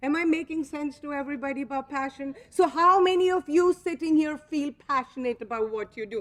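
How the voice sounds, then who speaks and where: A woman with a non-native accent and a high pitch talks at a fairly quick pace with ordinary pitch variation and hardly any pauses. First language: not English. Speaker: company co-founder speaking to franchise owners. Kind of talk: motivational speech. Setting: convention stage with audience. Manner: animated.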